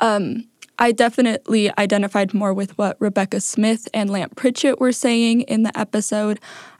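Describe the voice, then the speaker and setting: A woman with an American accent, fairly high-pitched, at a moderate pace with fairly even intonation, a plain, everyday voice, dry and close with no echo. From Idaho. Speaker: podcast producer. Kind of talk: reflective interview.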